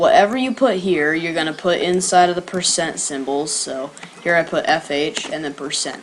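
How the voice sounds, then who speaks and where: A woman with a fairly low pitch can be heard against noticeable background noise. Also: ordinary pitch variation, moderate pace. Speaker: coding tutorial youtuber. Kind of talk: tutorial. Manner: casual, filler-heavy.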